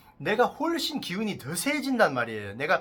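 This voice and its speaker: The speaker has a non-native accent and an animated tone. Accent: non-native Korean, speaks Korean poorly. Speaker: fortune teller. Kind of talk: casual explainer monologue. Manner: halting, self-correcting.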